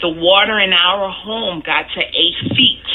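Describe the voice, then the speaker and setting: Over noticeable background noise, a woman speaks with a New Orleans accent. Her pace is very slow and her intonation fairly even. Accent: New Orleans Southern US. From US South, New Orleans, Louisiana. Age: 40s. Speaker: hurricane survivor interviewee. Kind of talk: personal testimony interview. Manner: some hesitations and restarts.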